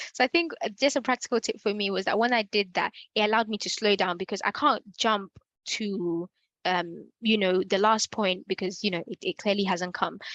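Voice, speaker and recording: An ordinary speaking voice from a woman at medium pitch, fairly quick in pace, with ordinary pitch variation and a dry, close sound with no echo against a quiet background. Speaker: workshop facilitator. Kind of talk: Q&A in online workshop.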